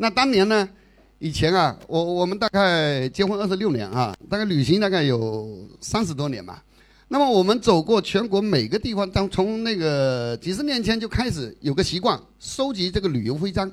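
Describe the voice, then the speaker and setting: On a very clean recording with a silent background, a man with a high pitch swings very widely in pitch at a moderate pace. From Fujian, China. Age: 50s. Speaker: retiree traveler. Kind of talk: travel talk to audience. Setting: stage with audience.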